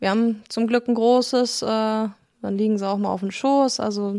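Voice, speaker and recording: The woman's tone is dark and mellow, and she speaks at a fairly slow pace. The recording is very clean and dry, close, with no echo and a silent background. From Germany, Lügde (Lippe region). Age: 20s. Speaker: husky owner, retail worker. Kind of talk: interview. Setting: at her home.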